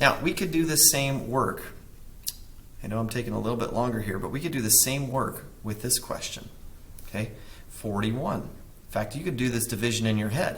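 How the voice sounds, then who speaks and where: A man speaks at a medium pitch. Room echo is audible around his voice. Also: ordinary pitch variation, moderate pace. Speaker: math teacher. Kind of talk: tutorial. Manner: casual, self-correcting.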